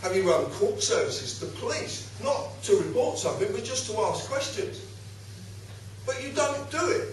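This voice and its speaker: A man with an East London accent at a moderate pace, with noticeable background noise and audible room echo. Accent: East End of London. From Hertfordshire, England. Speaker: public speaker. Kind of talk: public talk. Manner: animated.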